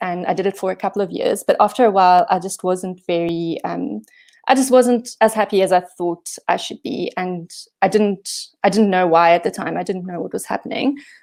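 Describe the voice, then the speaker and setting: In a South African accent, the speaker keeps a moderate pace with ordinary pitch variation on a very clean recording with a silent background. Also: woman. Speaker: software engineering manager. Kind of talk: conference talk. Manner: hesitant, many fillers.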